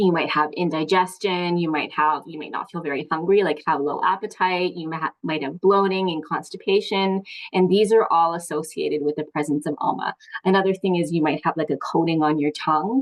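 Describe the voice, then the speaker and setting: Fairly low in pitch, a woman speaks at a fairly quick pace with ordinary pitch variation. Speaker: ayurveda wellness teacher. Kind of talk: online workshop talk. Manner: fast; casual with many fillers.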